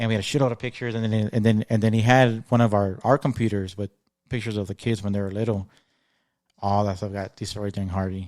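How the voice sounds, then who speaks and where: On a very clean recording with a silent background and a dry, close sound with no echo, a man talks at a very fast pace in a fairly low pitch with fairly even intonation. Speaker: podcast host. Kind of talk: casual chat. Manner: stutters, halting.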